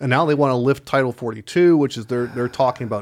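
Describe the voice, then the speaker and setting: His intonation stays fairly even, at a medium pitch. The man has an ordinary speaking voice. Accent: American. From Chicago. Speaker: podcast co-host. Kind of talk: casual chat. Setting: studio.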